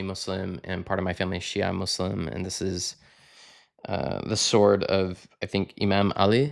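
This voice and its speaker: An unremarkable speaking voice comes through with an American accent and fairly even intonation. The recording is very clean, with a silent background. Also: man. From Texas, Fort Worth. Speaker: podcast guest. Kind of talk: casual chat.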